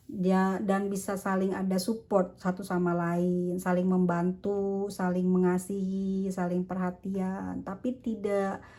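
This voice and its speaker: A woman speaks at a very slow pace and medium pitch. Her tone is dark and mellow, her intonation monotone and flat. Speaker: tarot reader. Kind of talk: tarot reading. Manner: casual.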